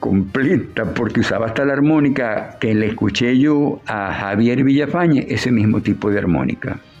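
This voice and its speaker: A man is speaking. Music plays in the background. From Venezuela, Maracaibo (Zulia). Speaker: puppeteer and writer. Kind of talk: interview.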